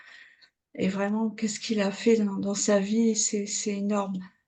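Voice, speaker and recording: Somewhat breathy and dark, mellow in tone, a woman's fairly high voice moves at a very slow pace with monotone, flat intonation. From northern France, Calais. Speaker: participant in prayer group. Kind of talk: testimony. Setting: video call. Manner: halting.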